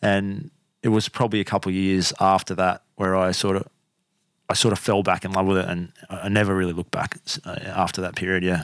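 A man's very deep, low voice in an Australian accent, monotone and flat, at a fairly quick pace. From Australia, Canberra. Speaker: podcast host and spearfisher. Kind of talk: casual interview chat.

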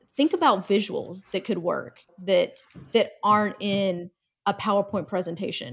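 At a moderate pace, a woman with an American accent speaks in a somewhat breathy voice of medium pitch. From US South. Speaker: communications director and former news reporter. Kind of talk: casual interview. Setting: video call.

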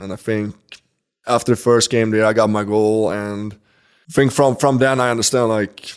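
A man's medium-pitched voice in a Swedish accent, fairly quick in pace, with fairly even intonation. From Sweden. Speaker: professional hockey player. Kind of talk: interview. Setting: in person interview in Stockholm.

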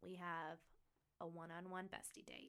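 A woman's medium-pitched voice with vocal fry. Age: 20s. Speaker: podcast host. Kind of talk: casual chat. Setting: studio.

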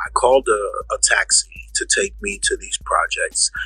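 With music in the background, a man speaks with a New York accent in a dry, close sound that has no echo. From Bronx, New York. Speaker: rapper. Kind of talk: storytelling interview.

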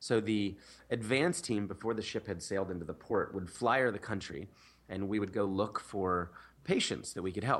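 A man with an American accent and an ordinary speaking voice talks at a moderate pace in a fairly low pitch with ordinary pitch variation, in a very clean recording with a silent background. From US Northeast, Philadelphia. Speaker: nonprofit founder. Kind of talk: interview.

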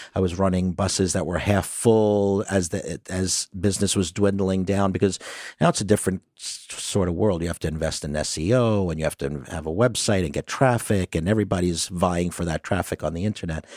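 A man with a very deep, low pitch and a Brooklyn accent speaks at a fairly quick pace with hardly any pauses and fairly even intonation. The recording is very clean with a silent background. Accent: New York (Brooklyn). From Brooklyn, New York. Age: 50s. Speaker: tour business owner. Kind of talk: interview.

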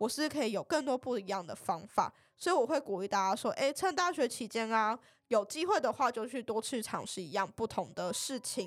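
Her voice plain, everyday and fairly high, a woman speaks at a fairly quick pace with lively intonation. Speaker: pharmacy student and marketing intern. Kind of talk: podcast interview.

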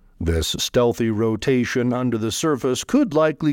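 A man with an unremarkable speaking voice talks at medium pitch and a moderate pace with lively intonation on a very clean recording with a silent background. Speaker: podcast host. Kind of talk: news reading. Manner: formal; steady, even-paced.

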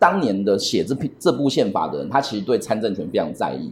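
With very wide pitch swings, a man speaks at a fairly quick pace and a medium pitch. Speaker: human rights lawyer. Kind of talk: interview.

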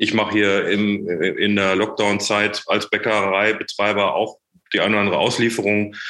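Fairly low-pitched male voice with a bright, sharp tone. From Germany, Sauerland (Menden). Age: 40s. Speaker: startup founder and managing director. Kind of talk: podcast interview.

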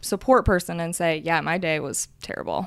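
A plain, everyday voice from a woman with an American accent, fairly low in pitch with fairly even intonation, on a very clean recording with a silent background. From Michigan. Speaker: therapist. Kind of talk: casual chat.

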